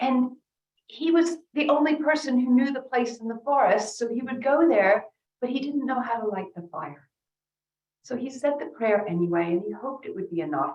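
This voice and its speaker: A woman talks at a moderate pace with an American accent. Her high voice swings very widely in pitch. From North America. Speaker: rabbi and speaker. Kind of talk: keynote talk with storytelling.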